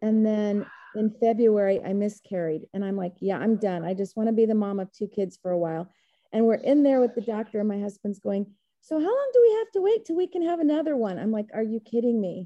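A plain, everyday voice with lively intonation and an American accent. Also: woman, fairly high pitch for a woman. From Texas.

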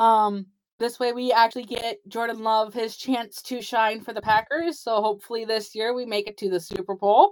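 A woman with an American accent, fairly high in pitch, at a moderate pace. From Wisconsin, US Upper Midwest. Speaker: TikTok creator and artist. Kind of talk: casual interview.

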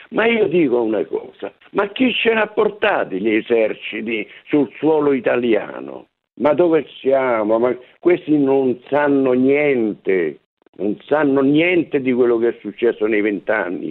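At a fairly slow pace, a man speaks at a medium pitch with very wide pitch swings and very even loudness. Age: 80s+. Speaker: war veteran, former partisan. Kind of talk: interview. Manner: indignant, emphatic.

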